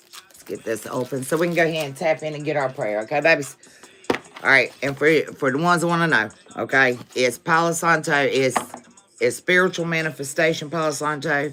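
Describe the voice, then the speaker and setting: Over noticeable background noise, a woman with an American accent speaks at a fairly quick pace in a very deep, low pitch, with big swings in loudness. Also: ordinary pitch variation. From US South. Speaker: tarot reader. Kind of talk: live tarot stream. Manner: casual.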